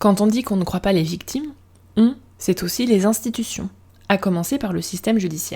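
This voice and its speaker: Somewhat breathy and at a medium pitch, a woman talks at a fairly quick pace with ordinary pitch variation and long, frequent pauses. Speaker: podcast host. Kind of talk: podcast monologue. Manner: casual, conversational.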